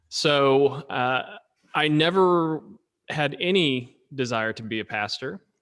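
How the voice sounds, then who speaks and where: A man's fairly high voice in an Oklahoma accent, very slow, with lively intonation, long, frequent pauses and big swings in loudness, on a very clean recording with a silent background. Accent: Oklahoma American. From Oklahoma, Tulsa. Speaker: pastor. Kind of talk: casual chat.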